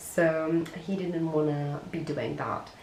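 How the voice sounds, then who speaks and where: A woman's fairly slow speech amid noticeable background noise and audible room echo. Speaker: crochet content creator. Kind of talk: casual vlog narration. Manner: lower, quieter tone.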